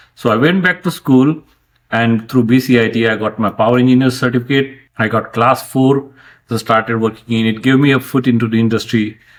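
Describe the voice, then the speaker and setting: With a Marathi accent, a man speaks at a medium pitch. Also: fairly quick pace. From India, rural Maharashtra. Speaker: franchise owner, engineer. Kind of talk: interview conversation.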